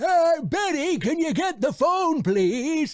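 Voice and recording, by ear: Putting on a character voice, a man speaks at a fairly slow pace in an extremely high pitch.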